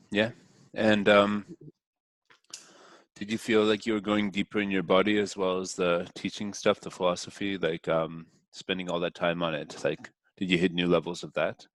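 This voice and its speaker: The man's very deep, low voice keeps a monotone, flat intonation at a moderate pace with long, frequent pauses, in a dry, close sound with no echo. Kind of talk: interviewer questions.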